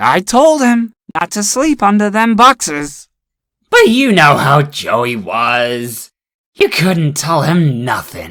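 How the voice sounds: A woman uses a put-on character voice with a low pitch and big pitch swings. Her tone is fairly bright and her pace slow.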